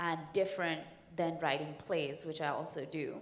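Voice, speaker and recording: With an Indian accent, a woman speaks in a fairly low pitch with ordinary pitch variation, with audible room echo. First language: Hindi. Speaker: comic book writer and actor. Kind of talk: panel discussion. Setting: stage with audience.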